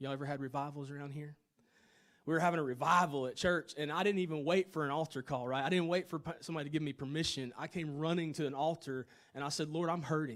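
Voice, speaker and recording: A man with a Tennessee accent, fairly high in pitch, at a very fast pace. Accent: Southern US (Tennessee). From US South, Chattanooga, Tennessee. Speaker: worship leader and minister. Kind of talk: testimony. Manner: animated.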